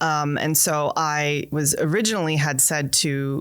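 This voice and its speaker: A woman with a North American accent talks at a very deep, low pitch. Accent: North American, often taken for American. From Canada. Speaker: college international partnerships director. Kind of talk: interview conversation. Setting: podcast interview. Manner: animated.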